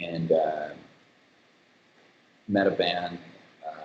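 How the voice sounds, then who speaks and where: The speaker is a man with an American accent. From Kansas. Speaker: composer and show creator. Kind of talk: casual interview chat. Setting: video call live stream from office.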